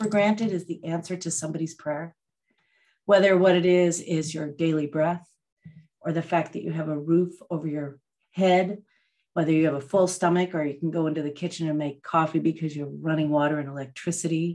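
A woman talks at a fairly quick pace with ordinary pitch variation over a quiet background. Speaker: meditation teacher. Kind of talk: talk to a live online group before a guided meditation. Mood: warm, reflective. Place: home room. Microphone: video call.

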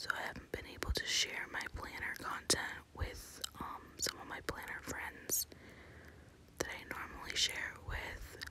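Everything is whispered. It moves at a very slow pace. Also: woman. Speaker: ASMR planner content creator. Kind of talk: casual talk to camera, plan-with-me ASMR. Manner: whispered, soft-spoken.

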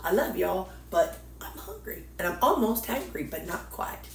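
A woman at a fairly slow pace, with audible room echo and light background noise. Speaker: diet vlogger. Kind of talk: casual vlog. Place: kitchen. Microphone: phone near.

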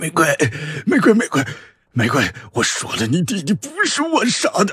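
A man's high voice at a moderate pace, with very wide pitch swings.

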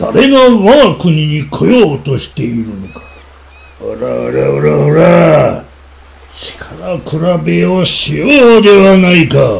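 A man in a put-on character voice at a very slow pace. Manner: blustering, then panicked and pleading.

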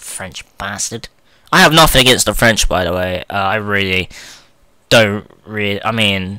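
Speaking at a fairly slow pace in a southern English accent, the voice sounds bright and sharp, with ordinary pitch variation. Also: man. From England, not the north. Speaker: gaming YouTuber. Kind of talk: let's play commentary. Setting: home recording, playing emulator. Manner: animated.

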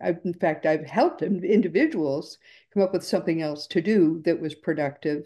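At a moderate pace, a woman speaks in a dark, mellow tone with ordinary pitch variation. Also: quiet background. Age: 70s. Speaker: podcast host. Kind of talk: interview. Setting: video call. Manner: warm, effusive. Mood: earnest, upbeat. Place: home room. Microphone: video call.

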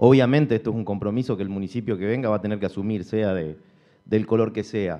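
A man's fairly low voice at a very fast pace over a quiet background. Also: ordinary pitch variation. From Argentina, Concordia; Argentina. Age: 30s. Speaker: mayoral candidate, entrepreneur; candidate. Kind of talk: political debate speech. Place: hall. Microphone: podium.

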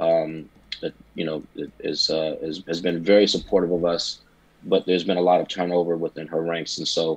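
This man has a very deep, low pitch and a monotone, flat intonation. He talks at a moderate pace. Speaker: jazz advocate. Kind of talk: panel discussion. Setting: video call. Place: home room. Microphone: video call.

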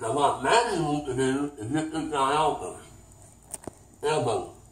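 Fairly slow speech broken by long, frequent pauses, with audible room echo and light background noise. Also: man. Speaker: self-defense instructor. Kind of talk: demonstration tutorial. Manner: rambling, informal. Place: home room. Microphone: camera far.

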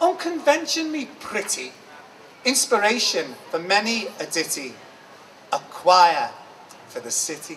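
A man speaks at a fairly slow pace in a high voice, with long, frequent pauses, big swings in loudness, very wide pitch swings and light background noise. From Liverpool. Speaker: performance poet. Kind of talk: poetry reading. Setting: live event. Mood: expressive, eyes often closed. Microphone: handheld.

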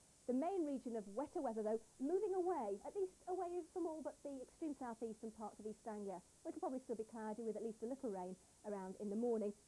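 A woman speaks at a very fast pace, her high pitch making very wide swings. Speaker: presenter. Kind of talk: broadcast weather forecast. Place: studio. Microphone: lapel.

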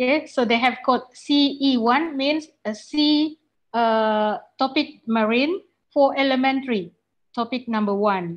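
Against a quiet background, a woman with an Indonesian accent speaks at a very slow pace in a high pitch. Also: ordinary pitch variation. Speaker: university lecturer and webinar moderator; university lecturer, webinar moderator. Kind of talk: webinar presentation. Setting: video call. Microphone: video call.

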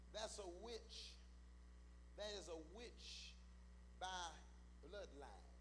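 Light background noise sits behind a man who talks very slowly, pausing long and often. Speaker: preacher. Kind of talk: sermon. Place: church. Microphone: handheld.

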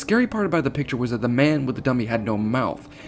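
Natural reading voice.

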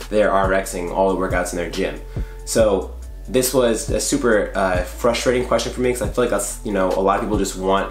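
Over faint background music, a man speaks at a fairly quick pace with audible room echo. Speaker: fitness coach. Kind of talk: casual vlog chat. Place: home room.

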